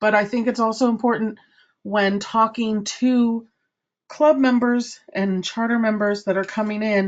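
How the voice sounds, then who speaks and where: Here a woman uses a normal speaking voice with a fairly high pitch. Her pace is fairly slow and her intonation fairly even. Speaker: service club trainer. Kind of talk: training presentation.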